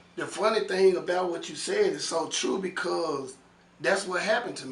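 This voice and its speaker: A man's voice with big swings in loudness, audible room echo, and noticeable background noise. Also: moderate pace. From Memphis, Tennessee. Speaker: author interviewed about prison and his book. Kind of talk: casual interview.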